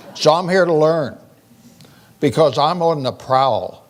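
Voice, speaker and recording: At a fairly slow pace, a man with a fairly high pitch and fairly even intonation talks over noticeable background noise. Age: 80s+. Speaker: physician and keynote speaker on aging. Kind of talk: keynote speech.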